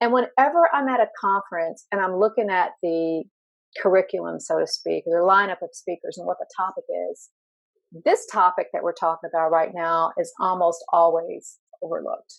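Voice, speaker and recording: At a moderate pace, a woman speaks with a slight Southern US accent. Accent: slight Southern US country. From Tennessee. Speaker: LGBTQ workplace inclusion consultant and speaker. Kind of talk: interview conversation.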